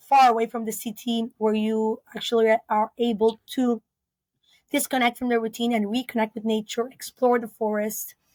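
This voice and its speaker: On a very clean recording with a silent background, a woman speaks at a moderate pace in a fairly high, monotone, flat voice. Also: dry, close sound with no echo. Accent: Spanish. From Peru (Lima). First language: Spanish. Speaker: biologist and eco-lodge founder. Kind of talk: interview. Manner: halting, many fillers.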